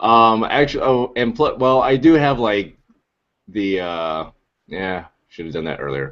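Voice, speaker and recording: Speaking at a very slow pace with long, frequent pauses, a man with an American accent uses a medium pitch and very wide pitch swings. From US, Anaheim, California. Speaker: podcast host. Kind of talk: casual chat. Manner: hesitant, many fillers.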